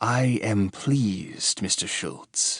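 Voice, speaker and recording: Soft-spoken man in a put-on character voice. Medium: read story. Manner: soft, calm, menacing.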